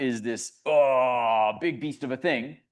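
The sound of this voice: Someone uses a put-on character voice, growling at a low-to-middle pitch.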